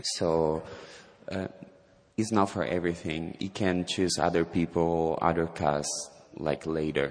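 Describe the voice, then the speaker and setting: A man with an Italian accent at a fairly slow pace. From southern Italy, Calabria. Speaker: ballet dancer. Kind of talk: interview. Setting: stage with audience.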